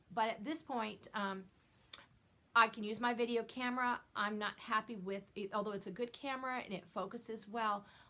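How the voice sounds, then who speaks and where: Loud and bright, with a sharp tone, a woman speaks at a fairly high pitch and a moderate pace with fairly even intonation. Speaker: knitting video podcaster. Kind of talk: casual chat.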